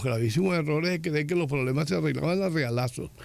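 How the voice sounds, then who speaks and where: The speaker's intonation is lively, and there is audible room echo. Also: man. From Venezuela. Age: 70s. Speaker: political analyst. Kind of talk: radio interview.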